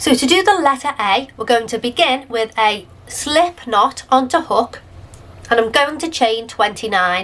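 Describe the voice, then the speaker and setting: A high-pitched woman with a British accent, fairly slow and lively in intonation. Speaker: crochet tutorial creator. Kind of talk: tutorial.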